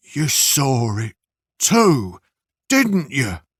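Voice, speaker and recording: A man puts on a character voice at a medium pitch. His pitch swings very widely. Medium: read story. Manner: defiant yet wavering, fearful edge.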